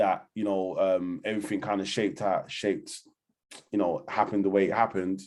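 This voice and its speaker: In a London accent, a man talks at a fairly quick pace with a fairly low pitch and flat, monotone intonation. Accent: London Multicultural English. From London, Hackney. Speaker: community organisation founder. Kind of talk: interview. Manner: casual, filler-heavy.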